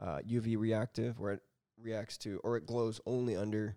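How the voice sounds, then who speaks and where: In a dry, close sound with no echo, a man with a fairly low pitch and a dark, mellow tone speaks at a moderate pace with fairly even intonation. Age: 30s. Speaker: hobbyist maker, 3D printing. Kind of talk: casual chat. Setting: at his home.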